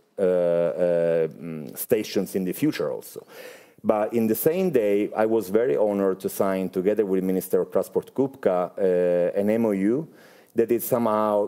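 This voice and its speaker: A man speaks with an Italian accent at a fairly low pitch. His tone is dark and mellow. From Italy. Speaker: space industry executive. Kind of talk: interview. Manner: halting, many filler sounds.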